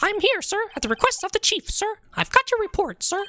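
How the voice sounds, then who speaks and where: This put-on character voice is squeaky, with an extremely high pitch. It moves at a fairly quick pace. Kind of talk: formal, deferential.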